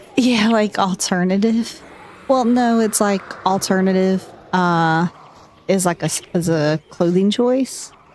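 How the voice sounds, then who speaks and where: A woman speaks with a strong Southern US accent at a fairly slow pace. Her tone is relaxed and her pitch medium. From US South, North Carolina. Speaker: gaming streamer. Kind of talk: casual chat.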